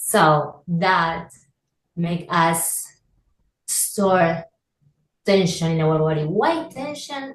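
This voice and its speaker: A woman's fairly low, somewhat breathy voice with a non-native accent. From Argentina. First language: Spanish. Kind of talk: interview. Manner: halting.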